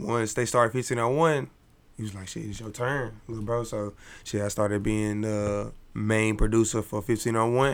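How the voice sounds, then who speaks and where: A man talks at a moderate pace in an ordinary speaking voice with a fairly low pitch and fairly even intonation. The recording is very clean, with a silent background. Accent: American. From Dallas, Texas. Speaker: music producer. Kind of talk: casual interview.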